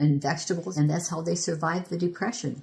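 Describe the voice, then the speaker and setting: On a very clean recording with a silent background, a woman with an American accent speaks in a fairly low, somewhat breathy voice with ordinary pitch variation. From Michigan. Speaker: history preservation volunteer. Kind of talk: oral history interview answer.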